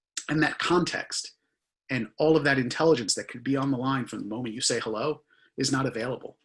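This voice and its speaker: In a strong Philadelphia accent, a man talks at a very fast pace with fairly even intonation. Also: medium pitch for a man. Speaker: conversational AI consultant. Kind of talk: conference talk.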